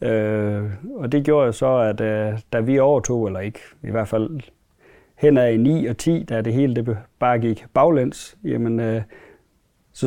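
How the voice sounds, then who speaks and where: The tone is dark and mellow, the pitch varies an ordinary amount, and the background is quiet. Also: man. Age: 40s. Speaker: dairy farmer. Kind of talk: interview. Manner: halting, many fillers.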